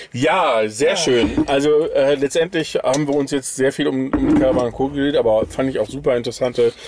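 A man speaks at a moderate pace and a medium pitch, with noticeable background noise behind him. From Sauerland, but moved around a lot. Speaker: podcast host. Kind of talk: casual chat. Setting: inside a camper van.

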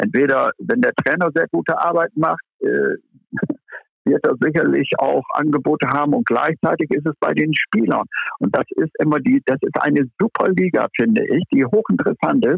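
A man's voice at a moderate pace, very even in loudness. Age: 60s. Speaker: former football club manager. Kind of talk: podcast discussion. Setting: phone call. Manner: calm.

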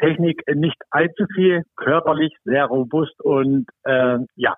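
A very slow-paced man's voice, fairly high in pitch, with ordinary pitch variation and very even loudness. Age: 60s. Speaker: football referee. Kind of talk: casual interview. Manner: hesitant, many fillers.

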